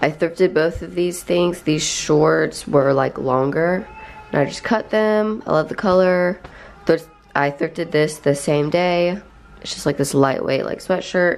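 A woman with a fairly low voice speaks at a fairly slow pace with ordinary pitch variation while music plays in the background. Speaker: lifestyle vlogger. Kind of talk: casual vlog chat. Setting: in a car. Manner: chatty, scattered.

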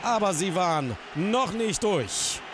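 A man's dramatic tone and lively intonation over noticeable background noise. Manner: rising excitement as the match turns dramatic.

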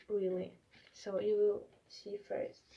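Over noticeable background noise, a woman speaks very slowly with a non-native accent. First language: not English. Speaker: collector unboxing mail. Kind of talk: casual unboxing talk to camera. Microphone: phone near.

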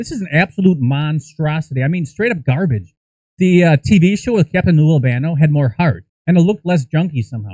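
A man's fairly high-pitched voice in a dark, mellow tone, with big pitch swings at a fairly quick pace, in a dry, close sound with no echo.

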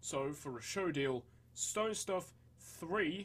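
On a very clean recording with a silent background, a man speaks with a Northern English accent. His voice is somewhat breathy, with lively intonation. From Northern England. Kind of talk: reading aloud a text on atomic theory.

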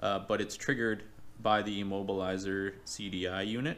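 The intonation stays monotone and flat. Light background noise can be heard. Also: man. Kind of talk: tutorial. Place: garage. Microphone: phone near.

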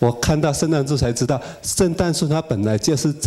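A man talks at a fairly quick pace. Noticeable background noise is audible behind him. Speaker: computer designer. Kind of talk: testimony. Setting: stage with audience. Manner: halting.

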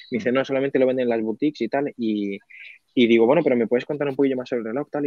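A man's voice with ordinary pitch variation, dry with no echo, over a quiet background. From Spain, Albacete; Spain. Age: 20s. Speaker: online reseller and content creator; online reseller, content creator. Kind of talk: casual interview chat. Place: office. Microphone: video call.

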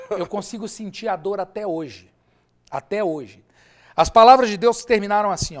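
This man speaks with a high pitch and ordinary pitch variation, at a moderate pace. His loudness swings a lot, over a quiet background. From Brazil, Minas Gerais (Ipatinga); Minas Gerais, Brazil. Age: 40s. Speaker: businessman, former volleyball player; interview guest. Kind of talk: interview testimony. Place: studio. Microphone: lapel.

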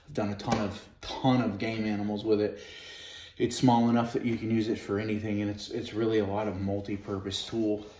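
A man's fairly low, monotone voice with flat intonation at a fairly quick pace, plus audible room echo and light background noise. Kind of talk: tutorial. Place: home room. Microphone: camera far.

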